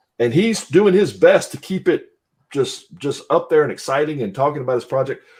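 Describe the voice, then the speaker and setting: The speaker talks at a fairly quick pace in an American accent. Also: man. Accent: Southern US accent that comes and goes. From Southwest Louisiana. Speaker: podcast co-host. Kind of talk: casual chat.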